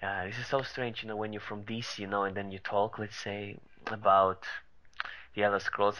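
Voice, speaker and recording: A man with an Eastern European accent, medium in pitch, fairly quick in pace, bright and sharp in tone. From Balkans, Eastern Europe. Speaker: gaming YouTuber. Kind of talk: casual chat. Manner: halting.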